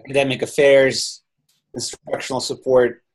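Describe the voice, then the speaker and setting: At a moderate pace, a man speaks with a Ukrainian accent. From Ukraine. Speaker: software company founder. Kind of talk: webinar interview. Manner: halting.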